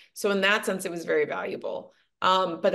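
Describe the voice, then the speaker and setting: At a moderate pace, a woman with an American accent and vocal fry talks at medium pitch with ordinary pitch variation. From Los Angeles, US; teen years in Chesterfield (Missouri). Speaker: actress and TV pitch coach. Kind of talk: podcast interview. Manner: reflective, hesitant with fillers.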